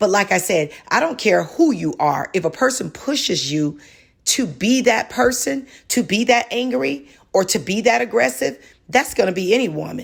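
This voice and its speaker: At a moderate pace, a woman speaks in a passionate tone at a medium pitch with vocal fry and very wide pitch swings. The recording is very clean with a silent background. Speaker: podcast co-host. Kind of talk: casual discussion. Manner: passionate, raised voice.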